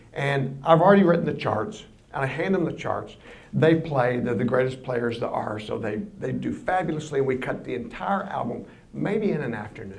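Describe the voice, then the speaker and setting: A man's medium-pitched voice with lively intonation at a moderate pace, with audible room echo and noticeable background noise. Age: 60s. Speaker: composer and record producer giving a public lecture. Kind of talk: public lecture. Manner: conversational.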